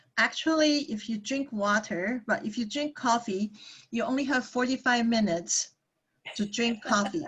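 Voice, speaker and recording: Speaking with a Taiwanese accent, a woman uses a fairly high pitch and ordinary pitch variation at a moderate pace. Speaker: psychologist. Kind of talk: workshop talk. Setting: video call.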